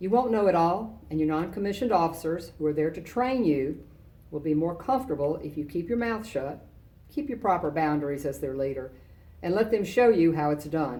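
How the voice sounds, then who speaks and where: A woman speaks at a fairly low pitch and a moderate pace, in a dark, mellow tone with lively intonation. Room echo is audible. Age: 60s. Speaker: retired army general, guest speaker. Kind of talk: commencement speech. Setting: virtual ceremony. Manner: formal.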